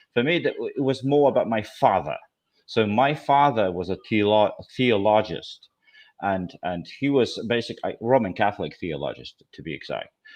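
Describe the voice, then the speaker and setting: Against a quiet background, a man with a slight Scottish accent speaks at a medium pitch. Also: lively intonation, moderate pace. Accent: slight Scottish hint. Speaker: philosophy student. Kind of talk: interview. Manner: halting, many repetitions.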